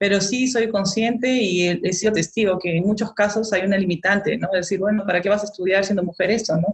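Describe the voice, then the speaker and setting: A somewhat breathy woman talks at a fairly quick pace with hardly any pauses, medium pitch, fairly even intonation and very even loudness. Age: 40s. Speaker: molecular biologist. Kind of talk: interview.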